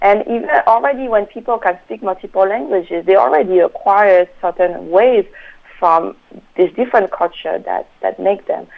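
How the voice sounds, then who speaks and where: Speaking with a French accent, a woman keeps a medium pitch, ordinary pitch variation and a moderate pace. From France. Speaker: researcher and trainer. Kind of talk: interview. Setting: phone call. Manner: halting.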